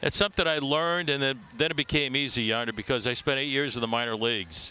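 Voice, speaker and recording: Speaking very fast with an American accent, a man keeps a medium pitch and very even loudness. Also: ordinary pitch variation. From US Midwest, Chicago south side. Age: 70s. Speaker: baseball play-by-play announcer. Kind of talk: casual interview.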